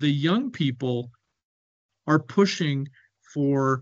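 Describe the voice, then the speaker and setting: In a Canadian accent, a man talks at a fairly high pitch. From Canada. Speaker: business consultant on Africa. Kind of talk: webinar presentation. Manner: hesitant, with fillers and repetitions.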